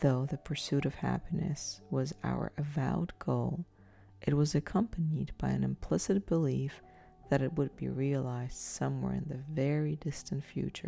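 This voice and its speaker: Over music in the background, a soft-spoken woman talks in a calm tone at a moderate pace. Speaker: sleep story narrator. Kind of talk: sleep story. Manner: soft-spoken, calm.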